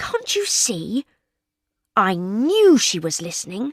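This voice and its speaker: Speaking at a fairly slow pace, a woman uses a put-on character voice pitched fairly high, the sound dry and close with no echo. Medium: read story. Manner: threatening.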